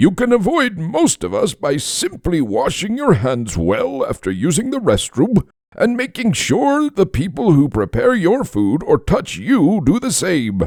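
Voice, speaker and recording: In a cartoonish character voice, a man speaks at a moderate pace with a high pitch. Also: hardly any pauses. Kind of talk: cartoon character voice.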